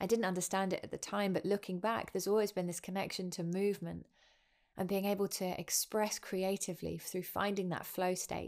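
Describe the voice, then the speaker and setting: A woman with a southern English accent speaks at a fairly quick pace and medium pitch, calm in tone. Her intonation is monotone and flat, and the recording is very clean with a silent background. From southern England (Winchester). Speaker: podcast host, yoga teacher. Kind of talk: personal storytelling monologue. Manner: calm, reflective.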